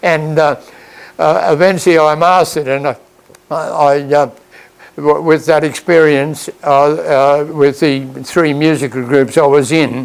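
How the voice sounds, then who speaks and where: A man with an Australian accent speaks slowly-ish, at a fairly slow pace and fairly high pitch. His intonation is fairly even, and noticeable background noise is present. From Australia, Queensland Sunshine Coast. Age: 90s. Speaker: retired farmer and band conductor. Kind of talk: interview storytelling. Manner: halting, many repetitions and false starts.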